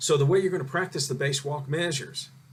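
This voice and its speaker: A man's voice sits fairly high and sounds somewhat breathy. His intonation stays fairly even. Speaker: guitar teacher. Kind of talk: online group lesson. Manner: fast.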